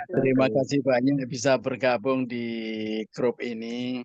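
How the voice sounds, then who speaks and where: Against a quiet background, a man speaks at medium pitch. His intonation is monotone and flat. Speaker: webinar participant. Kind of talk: casual chat. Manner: halting.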